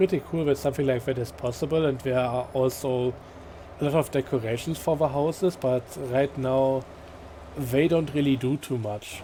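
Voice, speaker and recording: A man's relaxed voice at a moderate pace, fairly even in intonation, over noticeable background noise. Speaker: gaming video creator. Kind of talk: let's play commentary. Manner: halting, frequent fillers; casual, relaxed.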